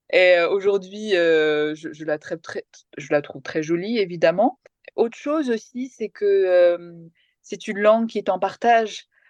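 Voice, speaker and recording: Recorded with a dry, close sound and no echo, the speech moves at a fairly slow pace with lively intonation and big swings in loudness. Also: woman, medium pitch for a woman. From France (came from Kerala, India at age 3). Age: 40s. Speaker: TV journalist and presenter. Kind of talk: interview. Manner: hesitant, many fillers.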